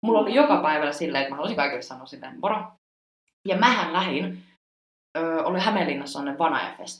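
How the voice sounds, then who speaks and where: Speaking at a very fast pace with long, frequent pauses, a woman with a fairly low pitch uses lively intonation and big swings in loudness, heard with audible room echo. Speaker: podcast host, former exchange student. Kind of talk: casual chat. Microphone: poor sound quality.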